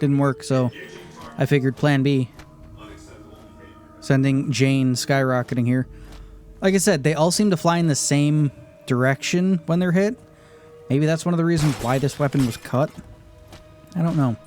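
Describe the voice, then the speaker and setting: With music in the background, a man with a fairly high pitch and ordinary pitch variation speaks in very even loudness, leaving long, frequent pauses. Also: moderate pace. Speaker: gaming YouTuber. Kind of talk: unscripted gameplay commentary. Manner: casual, off the cuff.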